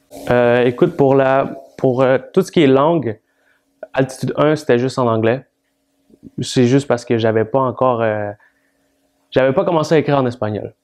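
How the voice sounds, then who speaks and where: A man with a Spanish accent, with ordinary pitch variation and long, frequent pauses. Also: medium pitch for a man, moderate pace. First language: Spanish (speaking French). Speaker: rap artist. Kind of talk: interview.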